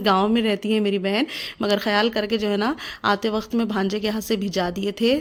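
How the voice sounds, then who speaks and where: Medium-pitched woman's voice with monotone, flat intonation. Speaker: housewife and mother vlogger. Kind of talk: casual vlog talk to camera.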